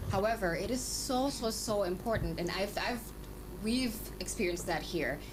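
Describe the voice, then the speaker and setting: With music in the background and audible room echo, a woman speaks at a very even loudness. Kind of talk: radio talk show interview. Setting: radio studio. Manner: fast.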